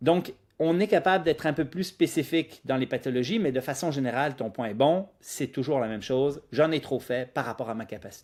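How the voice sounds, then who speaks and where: A normal speaking voice from a man, fairly high in pitch with ordinary pitch variation, at a fairly quick pace with hardly any pauses, in a very clean recording with a silent background. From Quebec, Lac-Saint-Jean (immigrated at 10). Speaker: physiotherapist, running clinic founder. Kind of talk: podcast interview.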